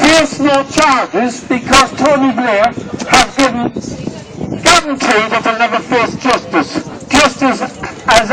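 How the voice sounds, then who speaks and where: A man speaks in a raised, projected voice. Background noise is noticeable. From Ireland. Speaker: protester. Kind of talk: protest speech.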